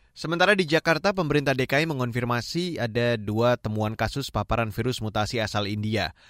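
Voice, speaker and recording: Speaking at a fairly quick pace with hardly any pauses, a man at a medium pitch has an ordinary speaking voice, in a dry, close sound with no echo and a very clean recording with a silent background. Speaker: radio news anchor. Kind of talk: formal newsreading, broadcast news bulletin with crisp, even, authoritative delivery. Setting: radio studio broadcast. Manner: formal; measured and steady.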